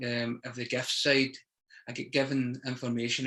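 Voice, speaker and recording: A man with a Scottish accent and a bright, sharp tone. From Scotland. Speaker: poet. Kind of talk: interview answer. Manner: hesitant, conversational.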